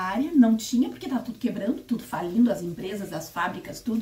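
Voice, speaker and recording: A woman talks at a fairly high pitch with lively intonation. Noticeable background noise runs behind her. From Brazil, interior of Paraná. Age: 60s. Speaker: spiritist YouTuber. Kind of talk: personal testimony. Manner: conversational, self-correcting.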